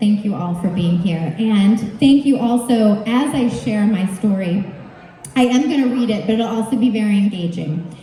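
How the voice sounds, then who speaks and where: Amid noticeable background noise and audible room echo, the speaker goes at a moderate pace with ordinary pitch variation. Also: woman, fairly high pitch for a woman. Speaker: yoga teacher and storytelling speaker. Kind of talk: storytelling speech read aloud to a live audience. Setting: stage with audience. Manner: loud.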